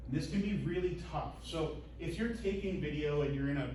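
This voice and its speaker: The room echo is audible and background noise is noticeable. A man talks at a moderate speed. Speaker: instructor. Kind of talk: lecture. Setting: lecture room. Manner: enunciating, projecting.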